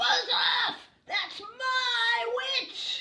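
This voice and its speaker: This is a put-on character voice, shrill and croaky at an extremely high pitch. It shouts and growls. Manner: rude, shouting.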